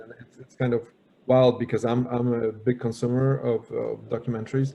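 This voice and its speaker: A man talks with a Polish accent. His pitch is medium and his pace moderate. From Poland. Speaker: panel moderator. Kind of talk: panel discussion. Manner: halting, many repetitions.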